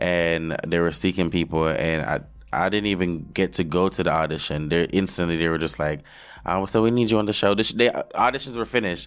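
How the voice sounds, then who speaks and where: Speaking fairly quickly with a Jamaican accent and ordinary pitch variation, the voice comes through on a very clean recording with a silent background. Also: man, very deep, low pitch for a man. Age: 20s. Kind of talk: casual interview chat.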